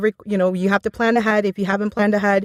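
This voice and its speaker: Here a woman speaks with a Spanish accent. The sound is dry and close, with no echo. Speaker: voiceover conference director. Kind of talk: podcast interview.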